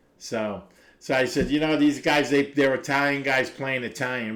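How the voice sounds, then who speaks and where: A man with a Brooklyn accent at a moderate pace, on a very clean recording with a silent background. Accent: New York (Brooklyn). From Brooklyn, New York. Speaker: recovery livestreamer. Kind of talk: casual chat. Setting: live stream. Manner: halting.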